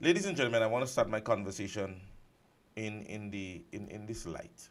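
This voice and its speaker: At a fairly quick pace, a man with a fairly low pitch speaks with ordinary pitch variation and big swings in loudness. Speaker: radio talk show host. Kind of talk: talk radio commentary. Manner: soft-spoken.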